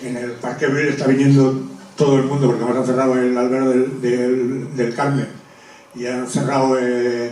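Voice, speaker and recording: A man with a medium pitch speaks at a moderate pace in a monotone, flat delivery. Background noise is noticeable, and so is the room echo. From Zaragoza, Spain. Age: 60s. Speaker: audience member at public talk, retired dam safety worker. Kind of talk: audience comment at public talk. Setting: public talk with audience. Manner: halting.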